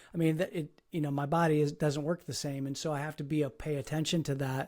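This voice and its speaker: This man talks at a very fast pace in a fairly high pitch, his intonation monotone and flat. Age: 60s. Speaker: podcast host. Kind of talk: interview conversation. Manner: halting, many repeated words.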